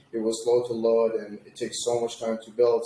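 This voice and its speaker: With an Arabic accent, a man talks at a moderate pace and a medium pitch. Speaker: agency founder, web designer. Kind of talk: interview.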